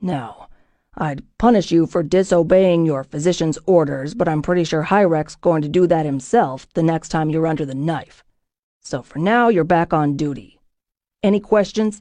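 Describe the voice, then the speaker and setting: Putting on a growling character voice, a woman talks at a moderate pace in a fairly low pitch with ordinary pitch variation. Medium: read story. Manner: blunt, authoritative, threatening.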